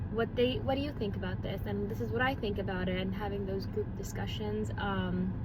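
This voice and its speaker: Over noticeable background noise and audible room echo, a woman with a very deep, low pitch speaks at a fairly quick pace with hardly any pauses and fairly even intonation. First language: not English. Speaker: vlogger, mom. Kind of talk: casual vlog update. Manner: hesitant, many fillers.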